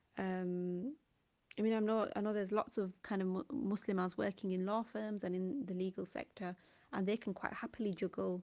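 Speaking at a moderate pace with a British accent, a woman uses a medium pitch and ordinary pitch variation. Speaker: school teacher. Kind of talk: interview.

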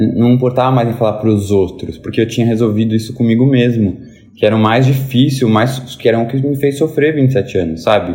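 Noticeable background noise sits behind a man speaking at a fairly quick pace. His medium pitch has ordinary variation, and his loudness stays very even. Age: 20s. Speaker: lawyer and book influencer. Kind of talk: casual chat.

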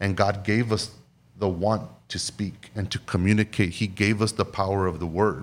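Very clean recording, silent background, and a man speaking in a plain, everyday voice. He has a fairly low pitch and a moderate pace. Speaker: podcast co-host. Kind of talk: casual chat.

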